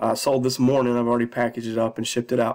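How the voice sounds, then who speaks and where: A man with a medium pitch is heard in a very clean recording with a silent background. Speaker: eBay reseller and vlogger. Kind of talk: casual video vlog, showing sold items. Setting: at home. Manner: many filler words (uh, um).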